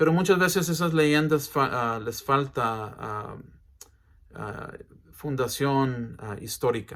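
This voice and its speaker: Someone with an English accent speaks at a very slow pace on a very clean recording with a silent background. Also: man. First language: English (speaking Spanish). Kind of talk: educational talk. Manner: halting, many fillers.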